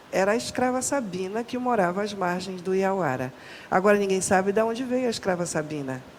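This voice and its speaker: A woman with a medium-pitched voice is heard with audible room echo and noticeable background noise. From northern Brazil, Pará. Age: 60s. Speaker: Afro-Brazilian religious cook and researcher. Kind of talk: podcast interview.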